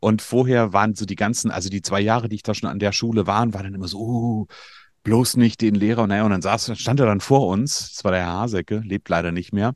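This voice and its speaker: This man has an ordinary speaking voice, pitched fairly low. He talks at a fairly quick pace with fairly even intonation. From Germany, northern Hesse. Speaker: coach for media designers and podcast agency owner. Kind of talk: interview.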